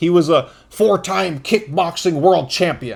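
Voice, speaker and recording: A man speaks loudly at a high pitch, with ordinary pitch variation. His tone is animated. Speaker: podcast host. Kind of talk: casual commentary monologue.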